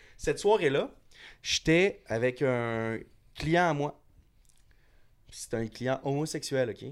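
A man at a very slow pace with long, frequent pauses, fairly high pitch and lively intonation, in a very clean recording with a silent background. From Montréal, Quebec. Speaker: bartender. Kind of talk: casual chat.

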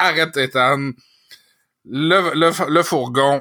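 A bright, sharp tone with ordinary pitch variation. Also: man. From Quebec City. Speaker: podcast co-host. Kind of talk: casual chat.

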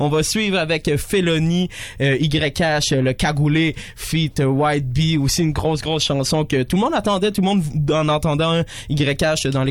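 Man with a fairly high pitch and very even loudness amid noticeable background noise. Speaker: radio host. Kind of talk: radio show hosting. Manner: animated.

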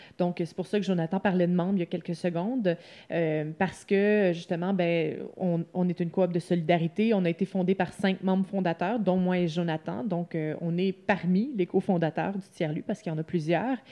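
With an ordinary speaking voice, a woman talks at a moderate pace and fairly low pitch, her intonation fairly even. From Quebec, Lanaudière. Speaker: co-founder of a coworking space. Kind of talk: interview.

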